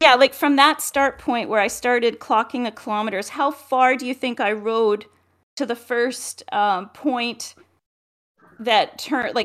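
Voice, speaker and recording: A woman with a Canadian accent and an unremarkable speaking voice speaks at a fairly slow pace, her fairly high pitch showing ordinary variation. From Edmonton, Alberta, Canada. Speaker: motorcycle travel co-host. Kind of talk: casual chat.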